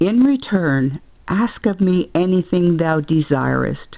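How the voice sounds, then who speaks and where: Her intonation is lively as a woman speaks at a fairly low pitch. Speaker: grandmother reading fairy tales aloud. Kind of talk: fairy tale reading.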